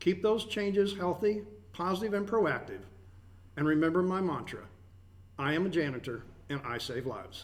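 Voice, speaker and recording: The speaker moves at a moderate pace with lively intonation. Long, frequent pauses break up the speech, and room echo is audible. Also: man, high pitch for a man. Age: 50s. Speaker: radio host. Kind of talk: broadcast show chat.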